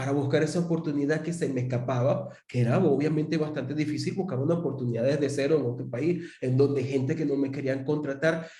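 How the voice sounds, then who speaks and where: A man with a Venezuelan accent at a fairly quick pace, fairly even intonation, audible room echo and noticeable background noise. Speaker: interview host. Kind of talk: interview.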